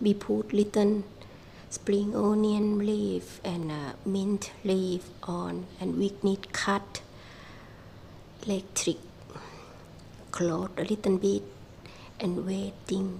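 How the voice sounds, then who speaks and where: Very slow speech in a Thai accent, with long, frequent pauses and noticeable background noise. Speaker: small farmer and vlogger. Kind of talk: casual vlog narration. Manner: halting.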